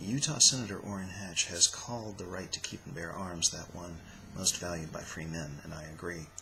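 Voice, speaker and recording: A quiet man with an American accent and a very deep, low pitch, ordinary pitch variation, a moderate pace, and big swings in loudness, amid noticeable background noise. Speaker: political vlogger. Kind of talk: opinion monologue. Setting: at home. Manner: stilted.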